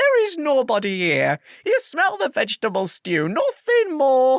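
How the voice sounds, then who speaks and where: This put-on character voice sits at a high pitch. It moves at a moderate pace. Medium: read story. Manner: warm, gentle.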